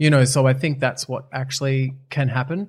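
Somewhat breathy and medium in pitch, a man speaks very fast with an Australian accent. His intonation stays fairly even. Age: 40s. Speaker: TV and radio presenter, reality show winner. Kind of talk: casual interview chat.

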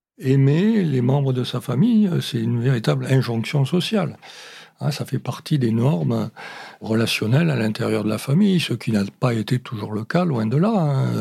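This man has a medium-pitched, somewhat breathy voice with a dark, mellow tone. He speaks at a moderate pace with lively intonation. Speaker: sociologist. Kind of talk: interview explanation.

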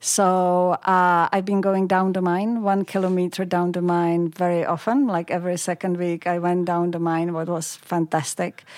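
A woman with a Czech accent speaks at a fairly low pitch and a moderate pace. Her intonation is monotone and flat, with hardly any pauses. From Czech Republic, Pilsen. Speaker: communications executive. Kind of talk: interview. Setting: studio.

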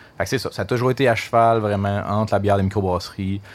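This man has a fairly low pitch, ordinary pitch variation, and a fairly quick pace. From Quebec, Gatineau area. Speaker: brewery marketing director. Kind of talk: casual interview. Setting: stage with audience. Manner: animated.

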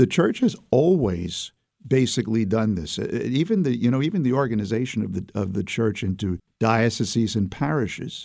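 A man with an American accent talks at a moderate pace with hardly any pauses, his medium-pitched voice dark and mellow in tone. His intonation is lively. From US Northeast, Brooklyn, New York City. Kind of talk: interview. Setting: studio.

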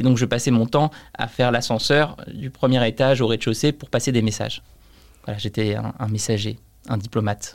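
In a very clean recording with a silent background, a man talks at a fairly quick pace with a medium pitch. He has a plain, everyday voice and fairly even intonation. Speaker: entrepreneur. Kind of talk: casual interview.

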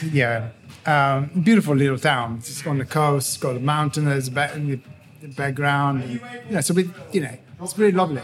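A man with an Italian accent, fairly high in pitch, at a moderate pace, with ordinary pitch variation and big swings in loudness. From Tuscany, Italy. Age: 40s. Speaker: chef. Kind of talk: casual chat. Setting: indoor cafe with music.

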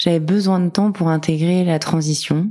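In a very clean recording with a silent background, a woman with a dark, mellow tone and fairly low pitch speaks at a moderate pace with fairly even intonation. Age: 30s. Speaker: career changer sharing her story. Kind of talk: interview testimony.

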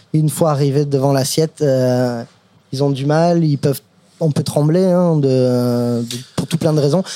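Over noticeable background noise, a man with a fairly high pitch speaks fairly slowly, with fairly even intonation and very even loudness. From US, Brooklyn, New York. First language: English (speaking French). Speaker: chef. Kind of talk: casual chat. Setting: restaurant.

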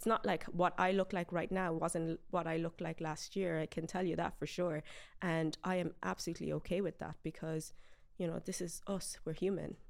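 In a very clean recording with a silent background, a woman with an Irish accent speaks at a moderate pace and fairly low pitch, her intonation monotone and flat. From Ireland (raised from early childhood, Galway area). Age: 20s. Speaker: beauty pageant winner and medical scientist. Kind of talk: interview.

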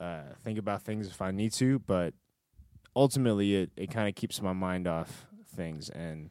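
A man's fairly low voice with a dark, mellow tone, ordinary pitch variation and a moderate pace. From Marietta, Georgia. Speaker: physical therapist and youth pastor. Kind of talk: casual chat. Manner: halting, repeats words.

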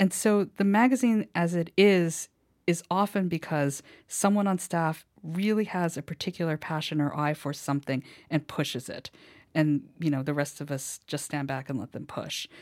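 A woman speaks at a moderate pace in an ordinary speaking voice, fairly low in pitch, with lively intonation. The recording is very clean with a silent background. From US, moved around; family from Hawaii. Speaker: novelist and magazine editor. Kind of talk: interview. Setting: studio.

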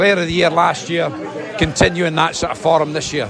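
A high-pitched man's voice against noticeable background noise. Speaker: fan. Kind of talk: post-match fan chat.

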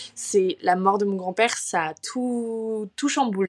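The sound is dry and close, with no echo, as a woman of medium pitch talks at a moderate pace. She has a plain, everyday voice with fairly even intonation. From France, Paris. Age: 20s. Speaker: student and mental health influencer. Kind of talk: personal testimony in casual interview.

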